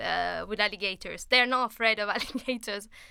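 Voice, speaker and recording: A woman speaks with an Italian accent. Her high voice has a bright, sharp tone. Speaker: travel podcast host. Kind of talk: casual interview.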